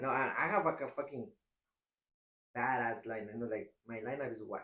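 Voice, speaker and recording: With a strong non-native accent, a man talks at a very fast pace. His pitch sits in the medium range. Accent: strong foreign. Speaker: barber, podcast host. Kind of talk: casual chat.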